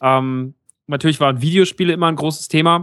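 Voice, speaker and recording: A man talks at a moderate pace with fairly even intonation, in a dry, close sound with no echo. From Germany, rural area. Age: 30s. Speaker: podcaster. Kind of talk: casual chat. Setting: remote call.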